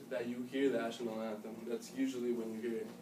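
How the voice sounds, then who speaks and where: A man with an American accent talks in fairly even intonation against noticeable background noise. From United States. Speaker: student giving class speech; presenter. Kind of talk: speech to an audience. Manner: halting. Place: classroom. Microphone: camera far.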